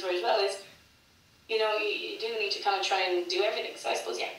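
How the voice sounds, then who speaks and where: Audible room echo surrounds a woman talking at a very fast pace. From Ireland, Cork. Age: 20s. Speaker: singer-songwriter. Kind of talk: interview. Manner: fast, with many repetitions and false starts.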